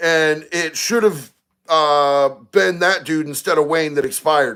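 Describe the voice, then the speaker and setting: A man's bright, sharp voice carries an animated tone at a fairly high pitch. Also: very clean recording, silent background. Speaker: live stream host. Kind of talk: live stream chat reading comments.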